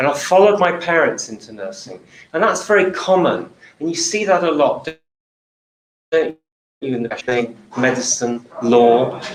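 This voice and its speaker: A man with a southern English accent, fairly high pitch, very wide pitch swings, a moderate pace and long, frequent pauses. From southern England. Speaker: nurse, healthcare speaker. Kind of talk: talk to live audience.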